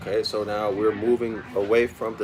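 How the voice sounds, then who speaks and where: Soft-spoken, a man talks at a fairly slow pace in a fairly low pitch. Audible room echo and noticeable background noise come through. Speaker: study group teacher. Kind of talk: lecture. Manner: repetitive.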